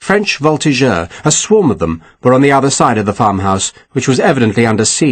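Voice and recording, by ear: The speaker is reading aloud in a natural voice, and the intonation is lively.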